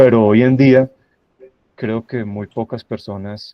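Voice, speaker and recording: The speaker is a man. He delivers his words in a monotone, flat way. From Colombia, Santa Rosa de Cabal (Risaralda, paisa region). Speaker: university professor, guest speaker on AI. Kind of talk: lecture presentation. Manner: hesitant fillers, repeats words.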